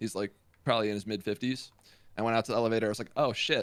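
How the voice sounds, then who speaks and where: A man speaks loudly at a medium pitch. His tone is bright and sharp. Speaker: gaming streamer. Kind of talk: casual chat.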